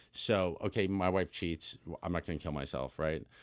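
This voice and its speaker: On a very clean recording with a silent background, a man with an American accent talks at a moderate pace in a very deep, low voice with vocal fry, an animated tone and ordinary pitch variation. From US, Los Angeles. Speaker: documentary film director. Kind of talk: casual interview conversation. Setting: studio. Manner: animated, profanity-laden.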